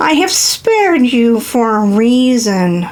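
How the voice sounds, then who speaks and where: A woman puts on a high-pitched character voice at a fairly slow pace. Light background noise can be heard. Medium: read story. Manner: solemn, cryptic.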